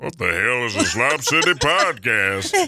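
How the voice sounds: Using a put-on character voice, a man speaks at a medium pitch and a moderate pace while his pitch swings very widely.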